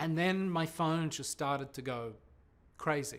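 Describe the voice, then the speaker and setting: This man has an Australian accent. His voice sits fairly high. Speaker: television presenter. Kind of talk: interview.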